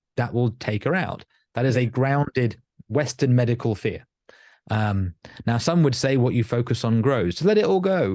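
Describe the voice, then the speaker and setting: Against a quiet background, a man with a southern English accent talks at a fairly quick pace and medium pitch. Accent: sounds like southern England. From northern England. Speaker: life coach and hypnotherapist. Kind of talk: podcast interview.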